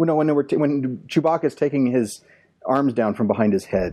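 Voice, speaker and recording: A man with an unremarkable speaking voice speaks at a moderate pace and medium pitch. His intonation is lively, and the background is quiet. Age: 40s. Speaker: podcast panelist. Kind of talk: casual chat.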